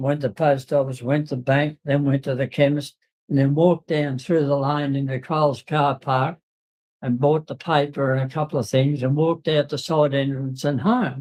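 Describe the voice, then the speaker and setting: Someone talks in an Australian accent at a moderate pace. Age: 80s+. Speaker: retiree at a community centre. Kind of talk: casual chat. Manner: halting.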